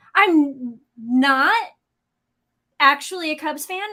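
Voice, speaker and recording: Raised and projected, a woman's voice comes in a high pitch with a Chicago accent. Her tone is bright and sharp, and she leaves long, frequent pauses. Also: big swings in loudness. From US Midwest, St. Louis. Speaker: automotive YouTube co-host and editor. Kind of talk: casual livestream chat.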